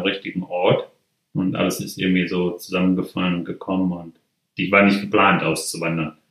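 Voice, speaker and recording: Very deep and low, a man's voice moves at a fairly quick pace with a monotone, flat intonation. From Germany, Ruhr area (Mülheim an der Ruhr). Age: 50s. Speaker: rancher. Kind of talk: interview. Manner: halting.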